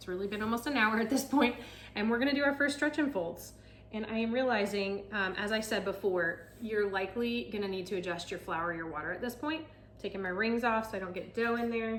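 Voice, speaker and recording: Amid noticeable background noise and audible room echo, a woman talks at a fairly quick pace with ordinary pitch variation. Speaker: realtor and home cook vlogger. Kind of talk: cooking tutorial. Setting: home kitchen. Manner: fast; casual, chatty.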